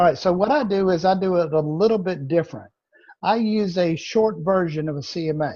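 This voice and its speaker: A man's high-pitched voice, dark and mellow, with a Southern accent, ordinary pitch variation and a fairly quick pace. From Louisiana. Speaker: real estate trainer. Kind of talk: training session.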